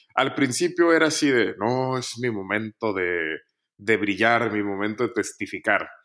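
The voice has a bright, sharp tone and lively intonation at a fairly slow pace, on a very clean recording with a silent background. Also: man, medium pitch for a man. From Mexico, Nuevo León (Montemorelos). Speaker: engineer. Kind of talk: casual interview, personal testimony.

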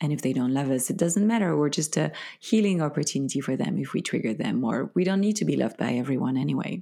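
With a French accent, a woman speaks very fast in a very deep, low pitch with a dark, mellow tone, vocal fry, lively intonation and very even loudness, in a very clean recording with a silent background. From Belgium. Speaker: spiritual teacher and author. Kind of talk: casual interview chat.

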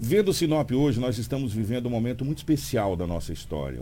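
Very fast and full of very wide pitch swings, a man speaks in a dark, mellow tone with vocal fry. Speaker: radio news host. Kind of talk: morning radio news show and interview. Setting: radio studio.

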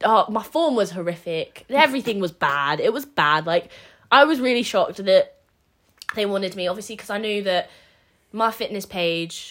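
With a plain, everyday voice, a woman speaks at a moderate pace and medium pitch, using lively intonation and big swings in loudness. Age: 20s. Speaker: podcast co-host, amateur bodybuilder. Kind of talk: casual chat.

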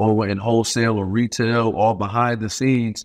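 Against a quiet background, a man in a New York accent speaks at medium pitch in a monotone, flat intonation. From Brooklyn, New York. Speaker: professional basketball player and bourbon entrepreneur. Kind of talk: casual interview.

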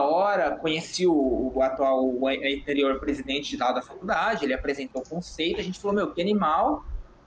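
There's noticeable background noise as a man speaks at a moderate pace with lively intonation. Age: 20s. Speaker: 3D generalist artist. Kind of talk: casual chat.

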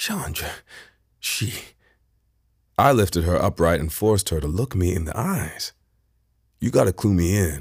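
Somewhat breathy, a man speaks at a very deep, low pitch with long, frequent pauses. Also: ordinary pitch variation. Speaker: audiobook narrator. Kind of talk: literary audiobook reading, first-person fiction narration with character dialogue. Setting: unmastered audiobook sample recording. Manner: emotionally restrained, slow and measured, with a shaky, stunned tone in the dialogue.

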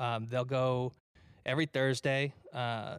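A man's fairly slow, monotone, flat delivery on a very clean recording with a silent background. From Detroit, Michigan, US. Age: 30s. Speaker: live event producer and musician. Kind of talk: casual chat. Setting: studio.

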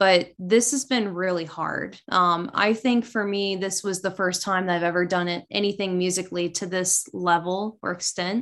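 A woman has an ordinary speaking voice at medium pitch, moving at a moderate pace with hardly any pauses and fairly even intonation. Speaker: band member, musician. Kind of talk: casual interview. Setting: Skype call.

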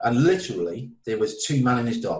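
This man has a Welsh accent. His pace is fairly slow. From Wales. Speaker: author and addiction counselor. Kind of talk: interview about recovery from addiction.

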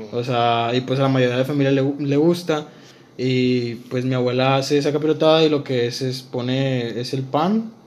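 Audible room echo surrounds a man speaking at medium pitch with fairly even intonation and a moderate pace. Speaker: podcast co-host. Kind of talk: casual chat.

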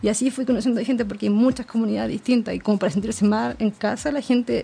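At a very fast pace, a woman talks in a fairly high pitch through noticeable background noise. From Chile, Concepción. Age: 20s. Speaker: traveler. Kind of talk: interview.

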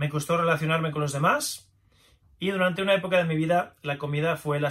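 An ordinary speaking voice from a man, fairly high in pitch, at a fairly quick pace with fairly even intonation. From Spain, Navarre (Pamplona). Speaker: author and traditional Chinese medicine practitioner. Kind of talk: audiobook narration.

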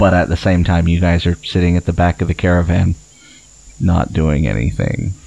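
At a moderate pace, a man speaks with vocal fry and a very deep, low pitch. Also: ordinary pitch variation. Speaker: game master running the tabletop role-playing game. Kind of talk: tabletop RPG session, casual banter and narration.

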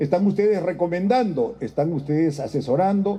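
A man with a somewhat breathy, dark, mellow tone talks at a moderate pace. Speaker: president of parliament. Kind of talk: formal speech.

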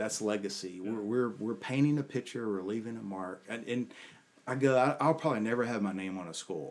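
Showing an ordinary speaking voice, a man talks at a fairly quick pace and medium pitch with ordinary pitch variation. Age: 50s. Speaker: leadership coach. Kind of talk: casual interview.

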